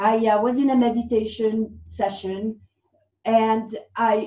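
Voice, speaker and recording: A woman with a Swiss French accent speaks fairly high and somewhat breathy, in a dark, mellow tone. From French-speaking Switzerland. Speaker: former dancer, fitness coach. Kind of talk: interview.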